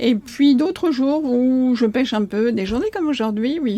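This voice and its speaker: A woman speaks in a high voice at a moderate pace. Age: 60s. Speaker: coach. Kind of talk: podcast interview. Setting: in person, by a marina. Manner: hesitant with many fillers.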